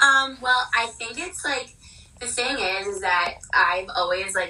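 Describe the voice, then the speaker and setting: Her pitch variation is ordinary. The woman talks with an American accent. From New Jersey. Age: 20s. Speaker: wardrobe stylist. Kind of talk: casual chat.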